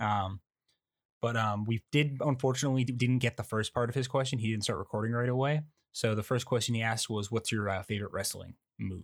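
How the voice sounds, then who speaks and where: In a very clean recording with a silent background, someone talks fairly quickly in a normal speaking voice with ordinary pitch variation. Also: man. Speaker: podcast host. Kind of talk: casual chat.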